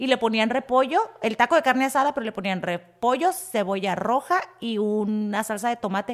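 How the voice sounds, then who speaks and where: With noticeable background noise behind her, a woman speaks at a fairly high pitch and moderate pace, with lively intonation and hardly any pauses. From Tijuana, Mexico. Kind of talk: casual chat.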